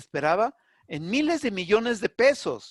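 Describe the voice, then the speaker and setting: A man speaks at a moderate pace with very wide swings in pitch, recorded dry and close with no echo against a quiet background. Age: 60s. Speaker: public health specialist. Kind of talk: webinar panel discussion. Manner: halting, with repetitions.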